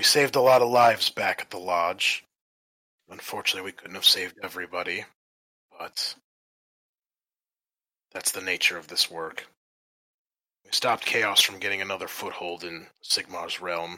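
A raspy, put-on character voice moves at a moderate pace with long, frequent pauses. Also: man, very deep, low pitch for a man. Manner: measured, authoritative, commanding.

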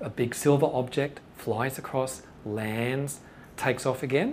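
Fairly high-pitched and somewhat breathy, a man talks with an Australian accent. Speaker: UFO researcher. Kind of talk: lecture. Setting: stage with audience.

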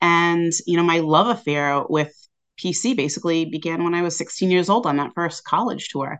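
A woman with an American accent talks at a fairly quick pace in a fairly low pitch, with ordinary pitch variation. It is a plain, everyday voice over a quiet background. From southeastern Massachusetts. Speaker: history lecturer. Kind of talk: interview.

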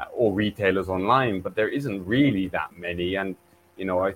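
In an English accent, a man talks at a moderate pace with ordinary pitch variation. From England. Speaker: film distributor. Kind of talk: interview. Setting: video call.

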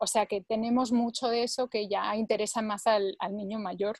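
A somewhat breathy woman with a fairly high pitch and fairly even intonation at a moderate pace, in a dry, close sound with no echo. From Spain, Barcelona. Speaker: language learning product creator. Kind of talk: interview.

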